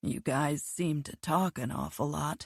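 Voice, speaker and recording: A woman's raspy, put-on character voice, very deep and low in pitch, at a fairly slow pace, with a dry, close sound and no echo. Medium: read story.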